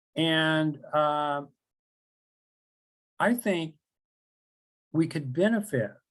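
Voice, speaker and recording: With an American accent, a man is talking. His pitch variation is ordinary. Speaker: professor. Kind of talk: lecture. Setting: webinar.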